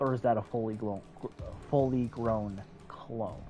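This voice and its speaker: Music plays in the background behind a man at a medium pitch. He talks at a moderate pace with fairly even intonation. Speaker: gaming streamer. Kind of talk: live gameplay commentary. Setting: live stream.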